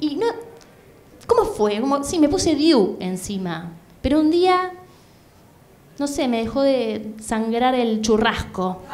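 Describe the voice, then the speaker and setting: With a Rioplatense accent, a woman speaks at a very slow pace with long, frequent pauses. Her high pitch swings very widely. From Buenos Aires, Argentina. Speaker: stand-up comedian. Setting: stage with audience, comedy club. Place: stage. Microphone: handheld.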